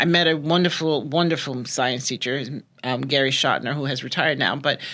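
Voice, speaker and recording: A woman speaks at a moderate pace in a very deep, low pitch, with a bright, sharp tone and ordinary pitch variation. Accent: slight New York. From New York City (Brooklyn). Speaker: teacher. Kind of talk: podcast interview.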